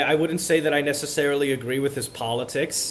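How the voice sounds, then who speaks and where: Noticeable background noise sits behind a man with a fairly high pitch. He speaks at a fairly quick pace with ordinary pitch variation. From Miami, Florida. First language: Spanish. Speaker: college student. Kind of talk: interview. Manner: halting, many repeated words.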